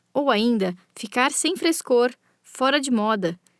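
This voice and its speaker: This woman's voice sits fairly high, with ordinary pitch variation. The sound is dry and close with no echo, in a very clean recording against a silent background. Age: 20s. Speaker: podcast host. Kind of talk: scripted narration.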